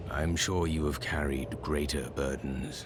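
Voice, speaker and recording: A man uses a put-on character voice with a solemn tone, speaking fairly slowly. Loud background noise runs underneath. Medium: video game. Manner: measured, solemn.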